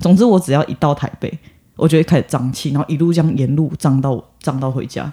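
Very fast and somewhat breathy, a man talks in a dark, mellow tone at a fairly high pitch with ordinary pitch variation. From southern Taiwan. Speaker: podcast co-host. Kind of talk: casual chat.

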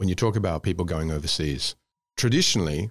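Recorded dry and close with no echo and a silent background, a man speaks with an Australian accent on a very clean track. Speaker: podcast host. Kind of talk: interview. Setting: studio.

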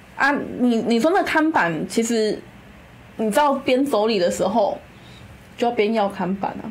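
Amid noticeable background noise and audible room echo, a woman with a fairly high pitch and lively intonation speaks at a moderate pace, taking long, frequent pauses. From Kaohsiung, Taiwan. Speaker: city council candidate. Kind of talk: casual chat.

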